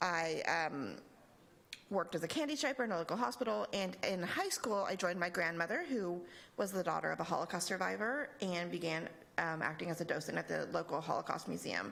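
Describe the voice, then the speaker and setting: A plain, everyday voice talks at a fairly quick pace with very even loudness. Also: woman, fairly low pitch for a woman, lively intonation. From Texas, El Paso. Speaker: nonprofit regional director. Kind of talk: lecture.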